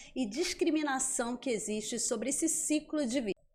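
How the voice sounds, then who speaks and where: A woman talks with lively intonation in a Rio de Janeiro accent. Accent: carioca. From Rio de Janeiro, Brazil. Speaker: psychiatrist and podcast host. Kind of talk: podcast interview. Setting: studio.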